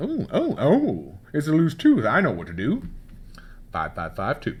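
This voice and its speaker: Using a put-on character voice, a man performs. He takes a fairly slow pace. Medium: read story. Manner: confident.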